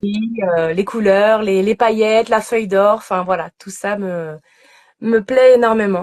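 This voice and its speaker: Her pace is fairly slow and her intonation fairly even. This woman speaks at a medium pitch. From Normandy, France. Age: 30s. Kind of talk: interview on Instagram live. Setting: Instagram live video call. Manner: hesitant, many fillers.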